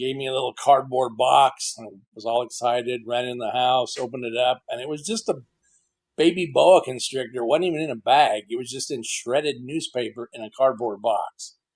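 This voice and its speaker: This man has a plain, everyday voice and an American accent, speaking at a fairly quick pace with a medium pitch. His loudness swings widely, while his pitch variation stays ordinary. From Texas, Fort Worth. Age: 60s. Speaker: reptile keeper. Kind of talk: casual interview.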